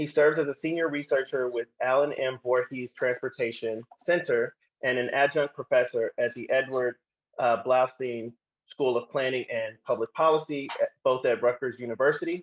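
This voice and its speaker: A man with an American accent and an unremarkable speaking voice talks at a moderate pace with a fairly high pitch and fairly even intonation, in a dry, close sound with no echo. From Oklahoma, Tulsa. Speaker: panel moderator. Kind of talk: panel introduction.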